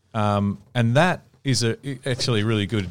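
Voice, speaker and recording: Moderate-paced speech from a man with an Australian accent. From Melbourne, Australia. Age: 30s. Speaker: podcast host. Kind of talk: casual chat.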